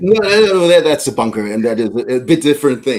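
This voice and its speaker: A man with a German accent and very wide pitch swings. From Germany. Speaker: politician. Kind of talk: interview. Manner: halting.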